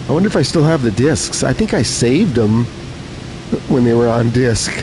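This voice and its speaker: Over noticeable background noise and audible room echo, a man with medium pitch speaks at a moderate pace in a relaxed tone, with ordinary pitch variation and very even loudness. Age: 70s. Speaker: gaming live streamer. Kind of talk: casual live stream chat. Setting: live stream, reading chat. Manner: relaxed, frequent filler 'uh'.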